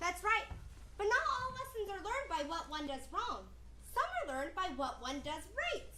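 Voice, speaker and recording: An extremely high, put-on character voice carries the clip. There is a slight echo and clear background noise. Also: moderate pace. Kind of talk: children's theatre storytelling. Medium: stage play.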